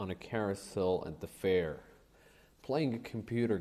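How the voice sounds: Reading in a natural voice.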